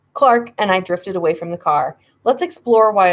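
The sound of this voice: An unforced reading voice is heard, with the background quiet.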